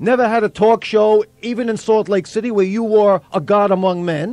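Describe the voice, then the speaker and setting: A man talks with ordinary pitch variation in a high voice. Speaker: radio talk show host. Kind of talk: sports talk radio host interview. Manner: energetic, enthusiastic.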